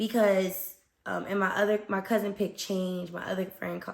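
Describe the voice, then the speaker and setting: Her tone animated, a woman speaks at medium pitch and a moderate pace. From US Northeast, Newark, New Jersey. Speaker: podcast host. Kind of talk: casual monologue.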